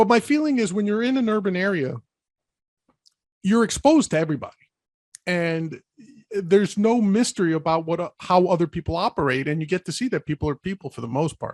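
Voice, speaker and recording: In a New York accent, the speaker races along at a very fast pace with lively intonation and long, frequent pauses, recorded with a dry, close sound and no echo. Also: man, high pitch for a man. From New York City, the Bronx. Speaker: podcast host. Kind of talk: casual chat.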